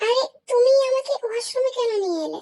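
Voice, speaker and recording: A woman's squeaky, put-on character voice at an extremely high pitch and a moderate pace. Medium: fan dub.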